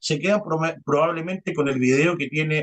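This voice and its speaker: A man talks with a high pitch. The speed is moderate. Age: 40s. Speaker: journalist. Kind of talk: interview conversation. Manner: hesitant, many fillers.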